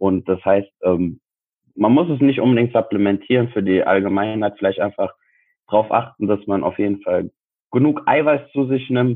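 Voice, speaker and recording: With a normal speaking voice, a man talks at a moderate pace and medium pitch, with ordinary pitch variation and very even loudness. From Frankfurt, Germany. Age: 20s. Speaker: sports science student and personal trainer. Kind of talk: casual interview chat.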